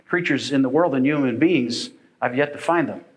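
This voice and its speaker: A man talks fairly quickly, and the room echo is audible. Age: 50s. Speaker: pastor. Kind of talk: sermon. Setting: church.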